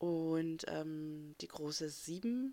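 A woman with a very deep, low pitch and a dark, mellow tone speaks at a very slow pace. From eastern Germany. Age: 30s. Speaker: podcast host, mother. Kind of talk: casual chat. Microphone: amateur setup, possible sound problems.

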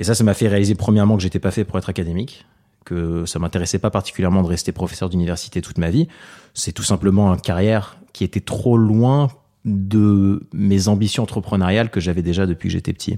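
Over a very clean recording with a silent background, the speaker moves at a fairly quick pace in a dark, mellow tone with fairly even intonation. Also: man, fairly low pitch for a man. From Paris, France. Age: 30s. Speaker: tech entrepreneur. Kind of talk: interview monologue.

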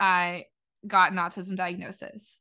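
A woman's bright, sharp tone at a very slow pace over a quiet background. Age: 20s. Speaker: speech language pathologist. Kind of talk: casual chat.

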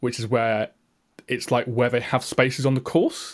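On a very clean recording with a silent background, a man with an English accent talks at a fairly quick pace and medium pitch. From England. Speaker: tech podcast co-host. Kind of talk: casual chat.

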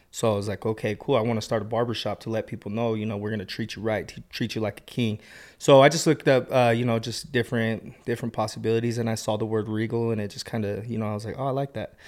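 With an American accent, a man at medium pitch talks at a very fast pace with hardly any pauses and fairly even intonation, captured in a very clean recording with a silent background. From Utah, Salt Lake valley. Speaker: barber and business owner. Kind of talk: casual interview.

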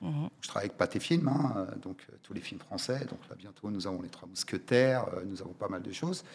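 Against noticeable background noise, a man with a fairly low pitch and lively intonation speaks at a moderate pace with hardly any pauses and big swings in loudness. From France, Paris suburbs (Val-d'Oise), Moroccan family from Oujda. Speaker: cinema logistics business owner. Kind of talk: interview. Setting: studio. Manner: halting, many repetitions and fillers.

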